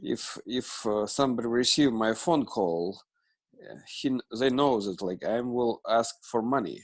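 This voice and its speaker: Here a man with a Russian accent speaks at a fairly slow pace. His pitch is medium, with ordinary pitch variation. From Russia, Moscow. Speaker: student, ministry fundraiser. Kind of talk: class introduction. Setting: video call. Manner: halting, many fillers.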